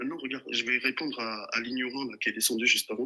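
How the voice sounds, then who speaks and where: A man speaks very fast at a medium pitch, keeping his intonation fairly even. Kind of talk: heated debate. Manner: soft-spoken.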